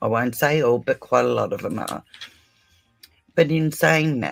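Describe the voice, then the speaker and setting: A man talks with an Australian accent. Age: 60s. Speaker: true crime livestreamer. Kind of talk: casual livestream chat. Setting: live stream. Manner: animated.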